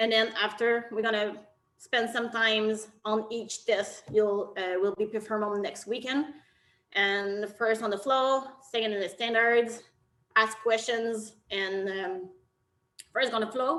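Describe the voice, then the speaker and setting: A woman speaks in a bright, sharp tone with a slight French Canadian accent. Her pace is fairly slow. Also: fairly high pitch for a woman, fairly even intonation. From Quebec, Canada. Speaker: technical officials committee chair. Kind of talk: virtual briefing.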